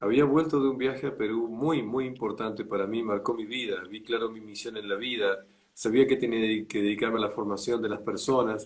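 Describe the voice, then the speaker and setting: A man with an ordinary speaking voice at medium pitch, fairly quick in pace with hardly any pauses and fairly even intonation. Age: 60s. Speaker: enneagram teacher. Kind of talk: interview. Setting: livestream.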